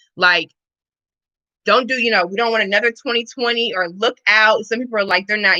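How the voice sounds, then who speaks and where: An animated voice with an American accent goes at a fairly quick pace. Its tone is bright and sharp. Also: woman. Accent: Missouri accent, noted by others. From Missouri, US Midwest. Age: 30s. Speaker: fitness and wellness coach. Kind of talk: casual livestream chat. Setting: live stream.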